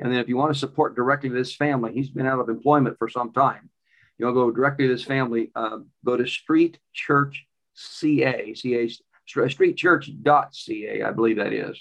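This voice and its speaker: A man speaks in a plain, everyday voice at medium pitch. His intonation remains fairly even. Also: moderate pace. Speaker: podcast host. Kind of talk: interview and commentary.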